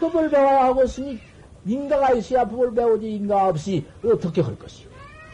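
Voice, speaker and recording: Noticeable background noise behind a man's lively intonation. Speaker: Buddhist Zen master monk. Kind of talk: dharma talk sermon. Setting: temple dharma hall with assembly.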